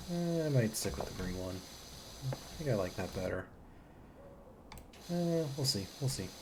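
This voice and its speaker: With audible room echo, a woman speaks at a moderate pace in a very deep, low, somewhat breathy voice, using very wide pitch swings and long, frequent pauses. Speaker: game streamer. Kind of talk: casual gameplay commentary.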